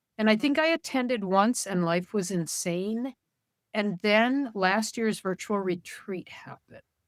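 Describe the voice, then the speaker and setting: A woman speaks in an ordinary speaking voice at medium pitch, fairly slowly and with ordinary pitch variation. The recording is very clean with a silent background and a dry, close sound with no echo. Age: 60s. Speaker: knitter. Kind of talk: casual chat.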